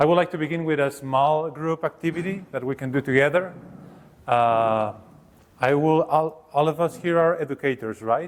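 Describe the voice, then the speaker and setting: A man with a Mexican accent speaks at a moderate pace, his fairly high pitch showing ordinary variation. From Mexico. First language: Spanish. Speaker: professor of education. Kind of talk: workshop presentation. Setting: seminar room with audience.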